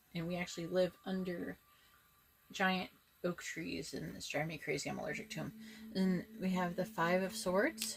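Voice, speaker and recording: Music plays in the background as a woman speaks with long, frequent pauses. Her pitch is medium and her intonation fairly even. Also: moderate pace. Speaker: tarot reader. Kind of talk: tarot reading video. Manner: casual, conversational.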